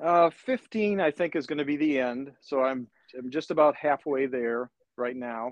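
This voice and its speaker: A man with a normal speaking voice talks at a fairly slow pace, his fairly high pitch showing ordinary variation. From northern Wisconsin. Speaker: cartoonist. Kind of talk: casual interview.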